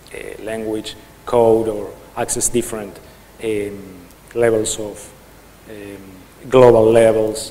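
A man speaks at medium pitch and a very slow pace, with long, frequent pauses and big swings in loudness, amid audible room echo and noticeable background noise. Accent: Spanish. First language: Spanish. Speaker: software developer / conference speaker. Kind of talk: conference talk. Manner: halting.

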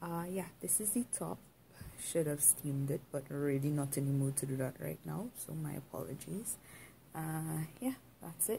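A woman's voice comes across somewhat breathy. She keeps a moderate pace over light background noise. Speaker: vlogger. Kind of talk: casual vlog chat. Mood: relaxed, playful. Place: home room.

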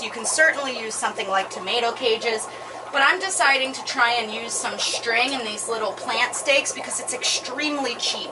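High pitch from a female speaker, with noticeable background noise behind her. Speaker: gardening channel host. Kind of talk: tutorial. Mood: upbeat, excited. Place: garden.

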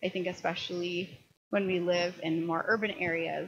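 Light background noise behind a woman's moderate pace. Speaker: presenter. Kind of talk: lecture. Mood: calm, earnest. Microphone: handheld.

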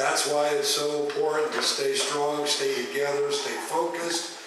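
Strong room echo surrounds a man speaking at a fairly slow pace. Light background noise sits underneath. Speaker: speaker. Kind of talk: speech to a meeting. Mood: earnest, urging. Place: hall.

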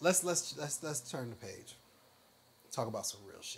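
A man speaks with an American accent. His pace is moderate. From US South. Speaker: truck driver; guest youtuber. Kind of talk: casual chat. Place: home room. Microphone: lapel.

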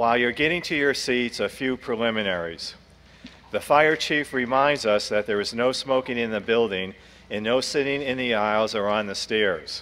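Moderate speed, with pitch varying in an ordinary way. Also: man. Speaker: meeting moderator. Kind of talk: formal meeting announcements. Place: hall. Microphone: podium.

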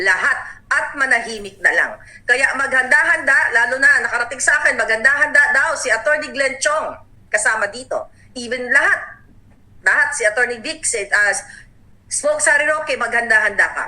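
The voice is raised and projected, moving at a moderate pace with lively intonation. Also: woman, high pitch for a woman. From Davao, Philippines. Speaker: political vlogger. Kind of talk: angry political rant, indignant and accusatory. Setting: online video channel monologue. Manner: furious, seething, emphatic and impassioned; urgent, warning tone, addressing listeners directly.

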